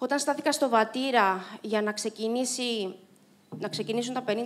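A woman talks in a high voice with ordinary pitch variation. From Cyprus. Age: 30s. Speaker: Paralympic swimmer and motivational speaker; speaker. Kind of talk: inspirational talk. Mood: reflective, earnest. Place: stage. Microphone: handheld.

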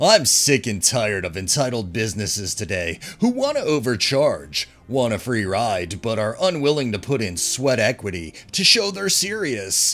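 A man's voice at a moderate pace, with very wide pitch swings. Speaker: story narrator. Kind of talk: reading a post aloud with commentary.

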